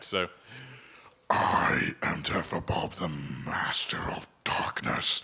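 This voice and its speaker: A man's put-on character voice, growling and very deep, at a very slow pace. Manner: menacing, theatrical.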